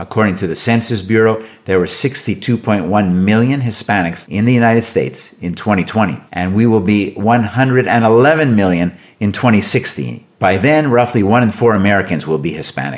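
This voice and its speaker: In a normal speaking voice with a Canadian accent, the speaker moves at a fairly quick pace with hardly any pauses and ordinary pitch variation. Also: man, fairly low pitch for a man. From Canada. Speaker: podcast host and business professor. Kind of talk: interview conversation.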